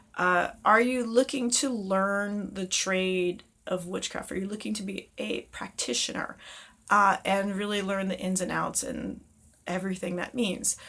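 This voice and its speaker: A woman of medium pitch talks at a fairly slow pace in a bright, sharp tone with ordinary pitch variation, on a very clean recording with a silent background. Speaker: witchcraft teacher. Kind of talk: casual talk to camera.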